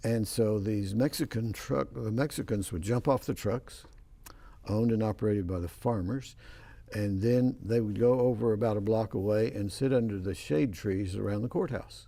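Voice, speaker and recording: With a West Texas accent, a man talks at a moderate pace in a fairly low, dark, mellow voice with ordinary pitch variation. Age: 80s+. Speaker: professor and talk show host. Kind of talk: casual interview chat.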